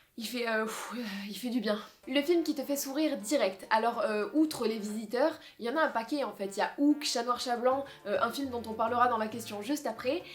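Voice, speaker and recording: Amid noticeable background noise, a woman with a slight southern French accent speaks in a high voice with an animated tone. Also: ordinary pitch variation. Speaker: film YouTuber. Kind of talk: casual vlog.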